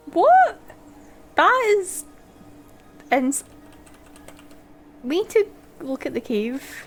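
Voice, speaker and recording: Over music in the background, a woman with a Scottish accent speaks at an extremely high pitch with very wide pitch swings. Her pace is very slow, with long, frequent pauses. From Scotland. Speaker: video game streamer. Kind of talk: live gameplay commentary. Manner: animated.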